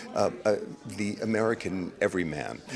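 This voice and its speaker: Music plays in the background as a man speaks. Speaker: Broadway actor. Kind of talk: interview answer.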